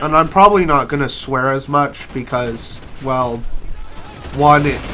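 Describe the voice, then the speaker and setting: Over noticeable background noise and audible room echo, a man speaks fairly slowly at a fairly high pitch with ordinary pitch variation. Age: 20s. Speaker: gaming YouTuber. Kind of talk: casual gameplay commentary. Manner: hesitant, many fillers and repeats.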